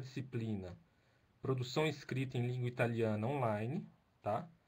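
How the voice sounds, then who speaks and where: A man speaks in a somewhat breathy voice. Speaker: doctoral researcher and Italian lecturer. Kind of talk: lecture. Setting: video call. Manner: slow; halting.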